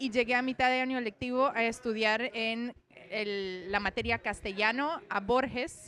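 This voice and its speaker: With a Romanian accent, a woman speaks at a fairly slow pace and a fairly high pitch, her tone bright and sharp and her pitch varying in an ordinary way. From Romania, then Venezuela from age 14. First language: Romanian (speaking Spanish). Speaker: poet. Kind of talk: interview.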